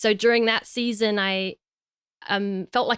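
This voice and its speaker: This British-accented woman talks at a fairly high pitch in a flat monotone. The recording is very clean and dry, close, with a silent background and no echo. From England, East London. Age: 20s. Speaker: podcast co-host. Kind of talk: personal testimony; casual chat.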